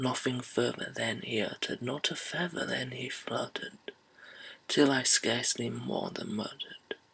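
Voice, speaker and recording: A man whispers in a put-on character voice. It is breathy and comes at a moderate pace. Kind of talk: whispered poetry reading. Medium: read story. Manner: slow, hushed.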